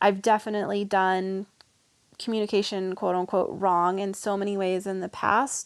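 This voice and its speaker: A woman with an American accent and an unremarkable speaking voice talks at a fairly quick pace and medium pitch. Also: very clean recording, silent background. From US South. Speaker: vegan coach and writer. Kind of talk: casual interview.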